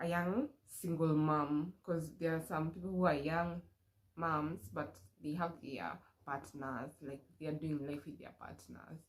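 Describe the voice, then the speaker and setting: A woman with a Kenyan accent speaks at a very deep, low pitch. Her intonation is fairly even and her pace fairly slow. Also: big swings in loudness. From Kenya, Murang'a County. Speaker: vlogger. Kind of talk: casual chat. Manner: casual, code-switching with Swahili.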